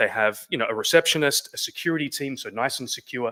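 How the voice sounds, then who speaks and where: A man with an Australian accent talks very fast at a fairly high pitch, his tone bright and sharp, in a dry, close recording with no echo. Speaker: business co-founder. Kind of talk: presentation.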